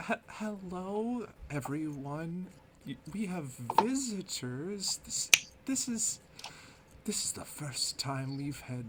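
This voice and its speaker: Using a squeaky, put-on character voice, a man speaks very slowly over loud background noise. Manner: stammering, excited.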